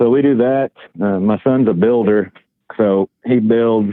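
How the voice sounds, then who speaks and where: A Southern US accent with fairly even intonation. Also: man. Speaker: truck driver and artist. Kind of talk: interview. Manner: halting, many fillers; calm.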